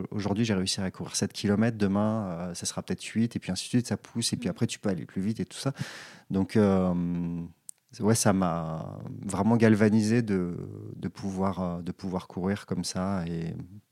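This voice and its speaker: In a very clean recording with a silent background and a dry, close sound with no echo, a man with a fairly low, dark and mellow voice speaks at a moderate pace with fairly even intonation. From Auvergne, France (Puy-de-Dôme). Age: 30s. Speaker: electronic music producer and runner. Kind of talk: casual interview. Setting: at his home. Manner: hesitant, many fillers.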